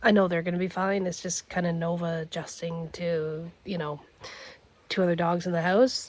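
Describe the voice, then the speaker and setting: Somewhat breathy, a woman's fairly low voice at a moderate pace. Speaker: homesteader vlogger. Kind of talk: casual vlog narration. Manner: hesitant, many fillers.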